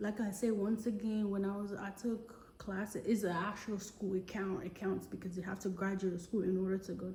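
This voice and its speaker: Over noticeable background noise and audible room echo, a woman at medium pitch talks with a strong West African accent. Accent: West African, heavy. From Togo, West Africa. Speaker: vlogger. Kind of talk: casual personal vlog. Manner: halting, many fillers.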